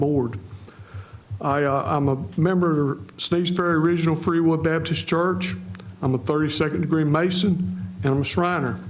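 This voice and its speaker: In a coastal North Carolina accent, a man speaks with ordinary pitch variation, heard with audible room echo and noticeable background noise. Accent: Southern US (coastal North Carolina). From US South, North Carolina. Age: 70s. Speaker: retired firefighter, mayoral candidate. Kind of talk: candidate forum opening statement.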